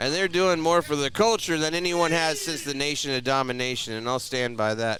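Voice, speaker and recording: Noticeable background noise runs under the clip. A man speaks at a fairly high pitch and a moderate pace. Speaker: play-by-play wrestling commentator. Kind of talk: live pro wrestling play-by-play commentary. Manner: excited, animated.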